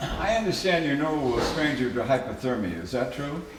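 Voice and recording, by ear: With audible room echo, a man of medium pitch speaks at a moderate pace, his pitch swinging widely.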